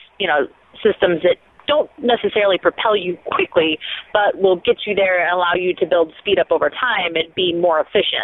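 An American-accented woman at a medium pitch, fairly quick pace and ordinary pitch variation, with noticeable background noise. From rural US Midwest. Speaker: rocket scientist and YouTube host. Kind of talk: interview.

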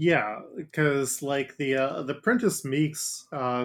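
A man with an American accent has a plain, everyday voice at medium pitch and fairly even intonation. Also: very clean recording, silent background. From Ohio, Cincinnati area. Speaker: podcast host and game master. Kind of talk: casual chat.

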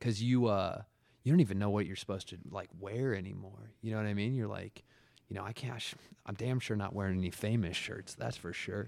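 This is a man with an unremarkable speaking voice, fairly low in pitch. He talks at a fairly quick pace with fairly even intonation. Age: 30s. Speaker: podcaster in addiction recovery. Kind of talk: casual chat.

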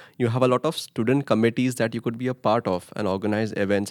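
A man with an Indian accent talks at a very fast pace in a very clean recording with a silent background and a dry, close sound with no echo. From India, Mumbai. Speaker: international master's student. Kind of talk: casual interview.

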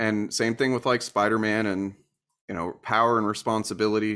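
A man with an American accent, fairly low-pitched and flat in a monotone, at a moderate pace on a very clean recording with a silent background. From US Deep South. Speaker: YouTuber. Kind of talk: interview. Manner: halting, many fillers.

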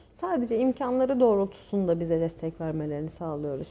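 A woman's dark, mellow tone at a moderate pace, with very wide pitch swings. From Turkey, Çanakkale region (childhood on Gökçeada). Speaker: painter. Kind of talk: casual chat. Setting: cafe / inn venue.

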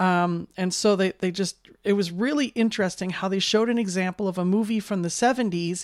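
A woman's unremarkable speaking voice at a medium pitch, fairly quick, with fairly even intonation, in a very clean recording with a silent background. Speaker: audio description consumer. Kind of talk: casual chat.

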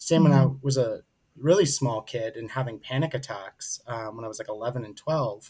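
In an ordinary speaking voice, a man talks at a fairly quick pace with medium pitch, ordinary pitch variation, and big swings in loudness. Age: 30s. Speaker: mental health speaker and advocate. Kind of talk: interview.

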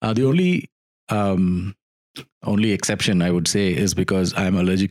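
A man with an Indian accent talks at a moderate pace in a very deep, low pitch, his loudness very even and his pitch variation ordinary. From South India. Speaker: podcast co-host. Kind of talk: casual chat.

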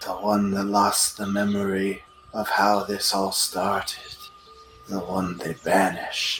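A man's put-on character voice, fairly low-pitched and fairly slow, with music in the background. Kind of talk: broken pidgin speech. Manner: cryptic, sly.

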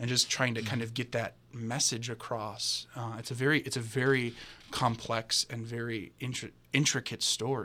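Bright, sharp tone from a man at medium pitch, captured on a very clean recording against a silent background. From Chicago. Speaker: graduate acting student. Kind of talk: casual chat. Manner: fast; energetic.

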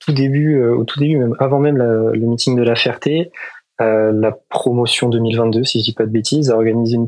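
A man uses an ordinary speaking voice at medium pitch and a fairly quick pace. His loudness stays very even and his intonation fairly even. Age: 20s. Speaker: engineering student and pilot. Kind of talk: interview.

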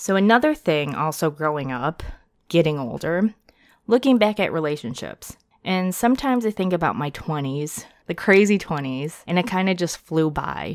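In an American accent, a woman with an unremarkable speaking voice and fairly low pitch uses lively intonation on a very clean recording with a silent background. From United States (adopted from South Korea). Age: 30s. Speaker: podcast host. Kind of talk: casual monologue.

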